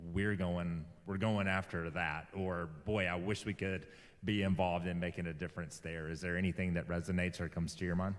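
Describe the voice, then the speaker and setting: Speaking with a Southern US accent, a man delivers his words in a very deep, low voice with monotone, flat intonation. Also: fairly quick pace. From US South (Alabama). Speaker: interview show host. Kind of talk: interview.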